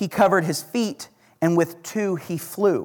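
Speech comes at a fairly slow pace in an Oklahoma accent. The tone is animated. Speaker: guest preacher. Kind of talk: sermon. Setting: church with congregation. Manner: animated, self-deprecating humor.

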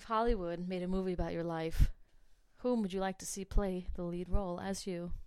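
A woman's plain, everyday voice with an American accent, medium pitch, fairly even intonation, a fairly quick pace and big swings in loudness. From New Jersey. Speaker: podcast host. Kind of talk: casual interview.

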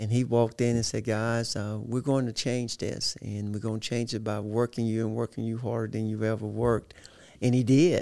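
A dark, mellow tone in a Southern US accent, at a moderate pace with monotone, flat intonation. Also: man, medium pitch for a man. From Arkansas, small town near Little Rock. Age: 50s. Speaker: football coach. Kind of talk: interview.

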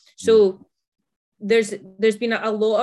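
This is a woman speaking. She has a Scottish accent. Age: 20s. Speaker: fitness coach. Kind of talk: casual interview chat.

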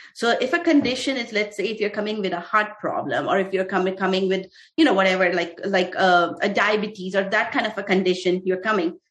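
With an Indian accent, a woman talks at a very fast pace with hardly any pauses, her medium pitch showing ordinary variation. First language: Hindi. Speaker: physician and startup founder. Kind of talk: interview. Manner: halting.

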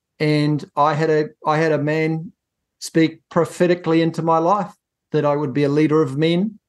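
In a New Zealand accent, a man speaks at a fairly high pitch with monotone, flat intonation and very even loudness. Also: moderate pace. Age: 50s. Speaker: business coach and accountant. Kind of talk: interview. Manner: halting.

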